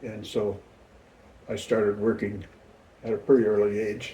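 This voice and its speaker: A man speaks at a moderate pace in a flat, monotone delivery, his voice somewhat breathy. His pitch sits fairly low, with a dark, mellow tone. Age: 70s. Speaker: grandfather being interviewed. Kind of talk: family interview. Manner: halting.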